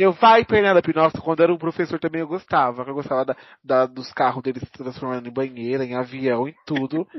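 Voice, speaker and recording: A man talks at a fairly quick pace and fairly high pitch in a normal speaking voice, with hardly any pauses. His loudness swings widely while pitch varies in an ordinary way. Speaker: podcast co-host. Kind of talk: casual chat.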